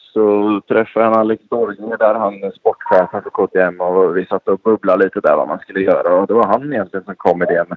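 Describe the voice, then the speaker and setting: A man with a fairly low pitch talks with hardly any pauses. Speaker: motocross and rally rider. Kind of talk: casual interview.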